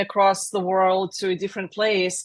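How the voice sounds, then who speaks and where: Against a quiet background, a woman with a Russian accent speaks at a medium pitch. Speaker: software agency founder. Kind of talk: interview.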